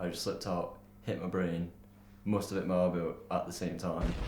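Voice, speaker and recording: Background noise is noticeable. Room echo can also be heard. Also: man. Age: 20s. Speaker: skateboarder and university student. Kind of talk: documentary interview. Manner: casual.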